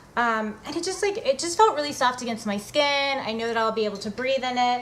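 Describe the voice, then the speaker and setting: A woman's high voice at a fairly quick pace, with lively intonation over noticeable background noise. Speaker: fitness blogger. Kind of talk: casual vlog tutorial.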